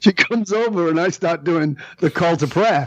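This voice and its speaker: With a British accent, a man talks at a moderate pace in a high pitch, with an animated tone and lively intonation. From northern England. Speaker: leadership speaker. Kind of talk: podcast interview.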